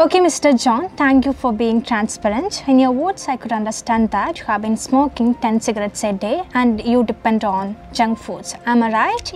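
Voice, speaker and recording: Over light background noise, a woman speaks with hardly any pauses and ordinary pitch variation. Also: moderate pace. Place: home room.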